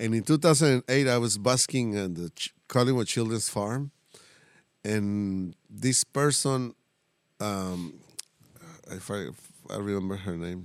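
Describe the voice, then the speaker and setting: With a Mexican accent, a man speaks fairly slowly at a fairly low pitch with ordinary pitch variation and long, frequent pauses, the sound dry and close with no echo. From Tijuana, Mexico. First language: Spanish. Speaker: mariachi musician. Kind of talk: casual interview chat. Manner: halting, hesitant.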